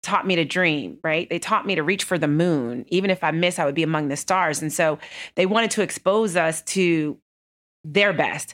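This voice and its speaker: A woman with a normal speaking voice and an American accent, fairly low in pitch, at a moderate pace with ordinary pitch variation, on a very clean recording with a silent background. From Texas. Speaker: banking executive. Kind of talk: interview. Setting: office.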